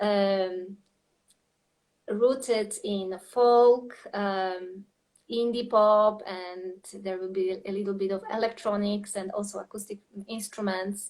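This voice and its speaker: A woman's medium-pitched voice in a Polish accent, very slow and monotone with flat intonation. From Poland. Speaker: singer-songwriter and creative coach. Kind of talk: interview conversation. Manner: halting, many fillers.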